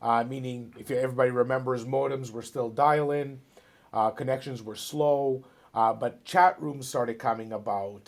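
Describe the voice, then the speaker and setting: A speaker with a Toronto accent talks at a moderate pace, with fairly even intonation and big swings in loudness. The recording is very clean, with a silent background. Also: man. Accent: Canadian English (Toronto). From Ontario, Canada. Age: 40s. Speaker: real estate broker. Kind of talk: interview. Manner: hesitant, many fillers and repeats.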